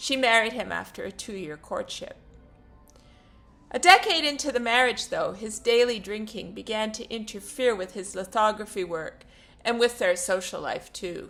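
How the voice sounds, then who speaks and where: A woman speaks with a fairly high pitch and lively intonation. Music plays in the background. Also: moderate pace, big swings in loudness. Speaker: profile writer and narrator. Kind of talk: reading a written personal profile.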